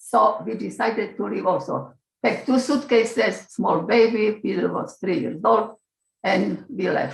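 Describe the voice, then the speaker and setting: A woman speaks in a Slovak accent. Her pace is fairly slow. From Slovakia. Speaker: Holocaust-era survivor and immigrant. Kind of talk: testimony. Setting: video call.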